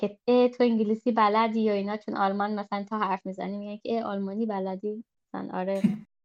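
Fairly quick and monotone, a woman speaks with flat intonation at a medium pitch. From Germany. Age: 20s. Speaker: podcast guest, second-generation immigrant. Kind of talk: casual chat.

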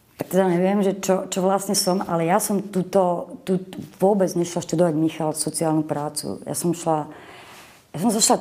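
This woman has a fairly low voice. She talks at a moderate pace with ordinary pitch variation. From western Slovakia, Boleráz (Trnava region), Moravian mother. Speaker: social worker. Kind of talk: interview. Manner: animated.

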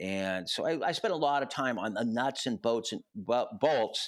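Here a man speaks in an unremarkable speaking voice at medium pitch. His pace is fairly slow, and the recording is very clean with a silent background. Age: 60s. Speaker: music festival founder and university professor. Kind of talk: casual interview.

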